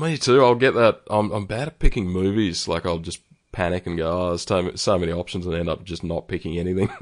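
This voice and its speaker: Over a quiet background, a man with an Australian accent talks very fast in a very deep, low pitch with ordinary pitch variation. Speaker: podcast host. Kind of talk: casual chat. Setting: remote call. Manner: hesitant, many ums and ahs.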